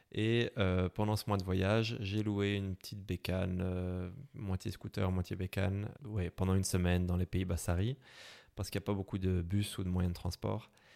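A man speaks at a moderate pace in a very deep, low voice with monotone, flat intonation. The recording is very clean, with a silent background. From Belgium, Brussels. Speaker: motorcycle traveller. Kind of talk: interview. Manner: hesitant, many fillers.

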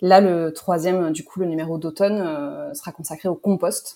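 A dark, mellow woman's voice, fairly low in pitch, with ordinary pitch variation. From Pau, southwest France. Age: 30s. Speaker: magazine co-founder. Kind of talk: casual chat.

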